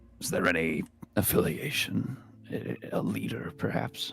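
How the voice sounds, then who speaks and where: Using a put-on character voice, a man speaks raspy and very deep, very low in pitch, with very wide pitch swings at a moderate pace. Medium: actual play. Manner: clipped, official.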